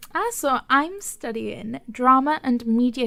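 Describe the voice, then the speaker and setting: A woman's high, bright and sharp voice with a Welsh accent. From Wales. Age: 21. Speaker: podcast co-host. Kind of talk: casual chat.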